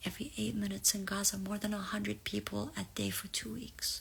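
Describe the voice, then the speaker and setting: A woman with an Arabic accent speaks at a moderate pace in a very deep, low pitch, her voice moving through very wide pitch swings. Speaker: spiritual reader. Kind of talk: live collective reading. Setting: livestream.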